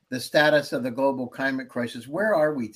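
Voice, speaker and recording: The delivery is enthusiastic in tone, with lively intonation. The pace is moderate. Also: man. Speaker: podcast host and venture studio CEO. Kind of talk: interview.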